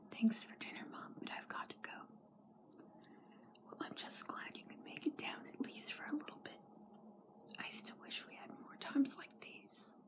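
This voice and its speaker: A woman's whispering, broken by long, frequent pauses. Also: moderate pace. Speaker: ASMR vlogger. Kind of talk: ASMR comic reading. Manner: whispered. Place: home room. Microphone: phone near. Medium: read story.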